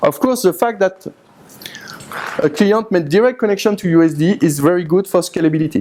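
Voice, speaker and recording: A man with a French accent and a high pitch, at a fairly quick pace with long, frequent pauses, lively intonation and very even loudness over noticeable background noise. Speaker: university IT engineer, conference speaker. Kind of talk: conference presentation. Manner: halting, with many hesitations.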